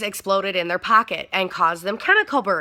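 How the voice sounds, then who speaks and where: Bright and sharp in tone, a woman speaks with an American accent. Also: very clean recording, silent background. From Michigan. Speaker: vaping YouTuber. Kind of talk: casual vlog talk. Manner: fast; raised voice.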